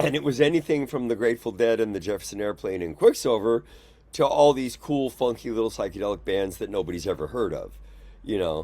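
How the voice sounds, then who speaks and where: The voice has a dark, mellow tone and a West Coast American accent. It moves at a fairly quick pace with lively intonation. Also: man, medium pitch for a man. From San Francisco, US West Coast. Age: 70s. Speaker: musician. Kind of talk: casual interview chat. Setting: video call.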